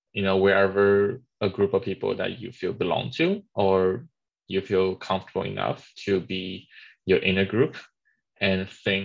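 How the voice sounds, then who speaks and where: This man speaks with a Chinese accent at a fairly slow pace. His background is quiet. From China. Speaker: webinar moderator. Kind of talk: webinar discussion. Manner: halting.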